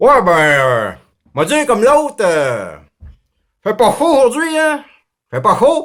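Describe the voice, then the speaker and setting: A put-on character voice drawls at a fairly slow pace, with long, frequent pauses and very wide pitch swings. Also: man, extremely high pitch for a man. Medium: read story. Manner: drawling, hesitant, repetitive.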